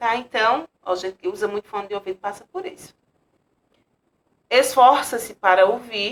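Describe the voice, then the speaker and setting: At a moderate pace, a woman talks in a fairly high voice, an ordinary speaking voice. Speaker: teacher. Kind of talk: lecture.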